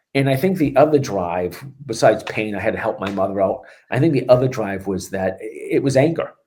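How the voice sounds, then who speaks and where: A man with a Boston accent speaks at a fairly quick pace in a medium-pitched, somewhat breathy voice with a dark, mellow tone and lively intonation. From Boston, Massachusetts. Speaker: strength and conditioning coach. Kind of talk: podcast interview. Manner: animated.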